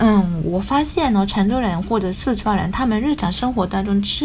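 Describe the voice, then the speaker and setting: A woman with a slight Taiwanese accent speaks with ordinary pitch variation amid audible room echo and noticeable background noise. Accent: slight Taiwanese-tinged Mandarin, non-native. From Japan. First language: Japanese (speaking Chinese). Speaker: writer. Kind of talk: casual chat. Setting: video call.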